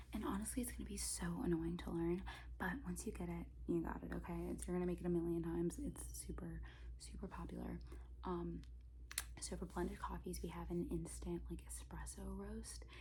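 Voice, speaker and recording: Soft-spoken and at a fairly quick pace, a woman speaks in a very deep, low pitch with vocal fry, a dark, mellow tone and monotone, flat intonation. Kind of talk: ASMR cafe roleplay, barista training a new hire. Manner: soft-spoken, casual, a bit sassy.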